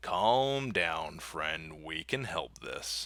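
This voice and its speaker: Putting on a character voice, a man speaks at a very deep, low pitch with very wide pitch swings. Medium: read story.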